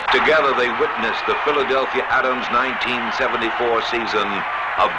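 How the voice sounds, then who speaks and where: A man with an American accent, very even loudness, and noticeable background noise. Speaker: sports film narrator. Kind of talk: documentary sports narration.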